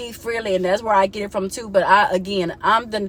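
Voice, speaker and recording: With noticeable background noise, a woman speaks at a fairly quick pace in an animated tone and a fairly high pitch. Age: 30s. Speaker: vlogger. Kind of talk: casual vent to camera.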